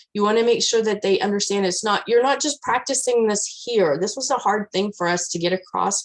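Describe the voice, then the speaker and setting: A woman's fairly high-pitched voice with a West Texas accent. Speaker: scout leader trainer. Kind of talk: training presentation. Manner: loud.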